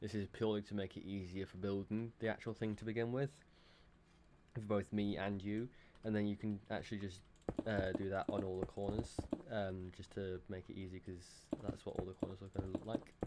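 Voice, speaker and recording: Mumbling at a fairly quick pace, a man speaks in a fairly low pitch with monotone, flat intonation. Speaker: Minecraft building tutorial creator. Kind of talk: casual tutorial narration. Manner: mumbling, hesitant.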